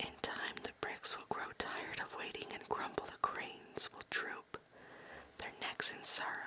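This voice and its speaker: Whispering from a woman, fairly slowly paced, with noticeable background noise behind it. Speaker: ASMR creator. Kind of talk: poetry reading for sleep. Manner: whispered, slow.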